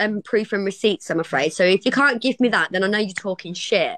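Bright and sharp in tone, a woman with an East Midlands accent talks at a fairly quick pace with lively intonation, in a dry sound with no echo and a quiet background. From Kettering, Northamptonshire, England. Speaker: live stream co-host. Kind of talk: casual banter, playful argument. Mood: sassy, confrontational banter. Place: home room. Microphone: phone near.

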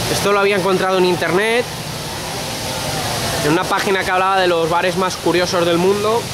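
The speech moves at a moderate pace. Loud background noise runs underneath it. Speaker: travel vlogger. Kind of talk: casual travel vlog commentary. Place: street. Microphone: phone near.

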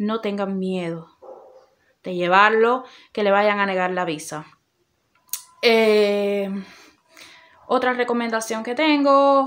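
Speaking at a very slow pace with long, frequent pauses, a woman has a fairly high pitch and ordinary pitch variation. The background is quiet. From Cuba. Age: 30s. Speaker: YouTuber. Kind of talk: informational vlog. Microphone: phone near.

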